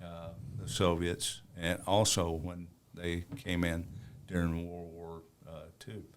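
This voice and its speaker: A man's very deep, low voice in a Southern US accent, very slow with long, frequent pauses, fairly even in intonation, big swings in loudness and audible room echo. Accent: Southern drawl. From US South, northern Alabama. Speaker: war veteran. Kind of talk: interview. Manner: halting.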